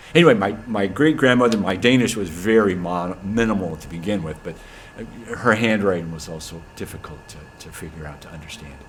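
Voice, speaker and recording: Lively in intonation and fairly quick, a man with an American accent and fairly low pitch talks in big swings of loudness, with noticeable background noise and audible room echo. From US Pacific Northwest. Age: 60s. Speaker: church member. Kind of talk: casual chat. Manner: halting.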